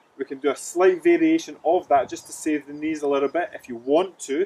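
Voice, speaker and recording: A man with a Scottish accent talks at a fairly quick pace. His pitch is fairly high, with ordinary variation. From Scotland. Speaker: fitness coach. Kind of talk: exercise instruction to camera. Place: open country.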